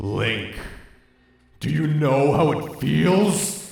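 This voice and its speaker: With a slight echo, a man uses a put-on character voice that is fairly high-pitched and menacing in tone. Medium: read story.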